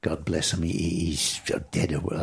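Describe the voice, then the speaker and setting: A man speaks with a Manx accent. His voice is somewhat breathy and his pace fairly slow. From Isle of Man. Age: 70s. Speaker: motorcycle display commentator. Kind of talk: podcast interview answer.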